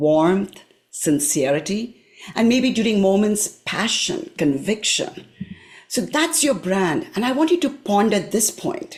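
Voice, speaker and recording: A woman's somewhat breathy voice at a medium pitch, with very wide pitch swings and a very slow pace. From India. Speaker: career coach, public speaker. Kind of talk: live presentation to a professional group.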